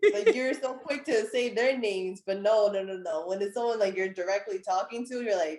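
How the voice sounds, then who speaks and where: An unremarkable speaking voice from a woman with an American accent, medium pitch and lively intonation. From United States. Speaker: counseling student and personal trainer. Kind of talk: casual conversation.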